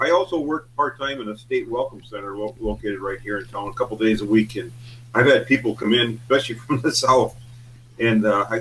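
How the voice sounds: Speaking with a northern US accent, a man goes at a fairly quick pace with a medium pitch and ordinary pitch variation. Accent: regional northern US.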